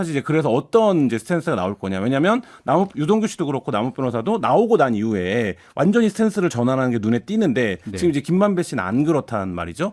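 A man speaks at a very fast pace in a fairly high voice, with hardly any pauses. His pitch swings very widely, and the recording is very clean with a silent background. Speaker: newspaper reporter. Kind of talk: radio current affairs discussion. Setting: studio.

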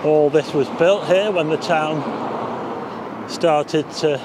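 Very slowly, a man talks in a dry recording with no echo and noticeable background noise. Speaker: walking tour vlogger. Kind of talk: casual vlog commentary. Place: street. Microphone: phone near.

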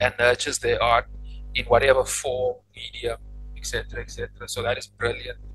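A man's voice, dry with no echo, over faint music in the background. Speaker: podcast host. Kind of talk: podcast interview, casual conversation. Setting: faulty microphone, poor audio quality. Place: home room. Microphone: studio mic.

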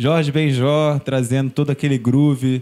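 A man's dark, mellow tone carries fairly even intonation and moves at a moderate pace. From Brazil, Niterói, Rio de Janeiro; Rio de Janeiro, Brazil. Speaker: singer-songwriter; guest. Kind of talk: casual interview chat. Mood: warm, reflective. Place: studio. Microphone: studio mic.

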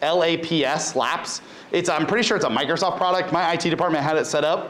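With an American accent, a man speaks at a high pitch. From US Midwest, central Ohio. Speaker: high school cybersecurity teacher. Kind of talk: conference talk. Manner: casual, many filler words. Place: classroom.

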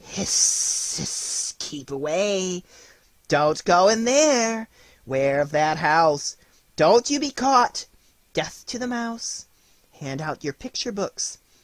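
A put-on character voice at middle pitch hisses with a menacing tone. The pace is very slow. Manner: hissing, menacing.

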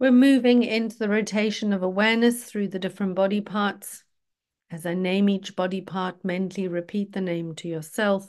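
A normal speaking voice with fairly even intonation against a quiet background. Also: woman, medium pitch for a woman. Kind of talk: guided meditation (yoga nidra). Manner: slow, calm, soothing, gently paced with pauses; instructional, reassuring, rhythmic body-part listing.

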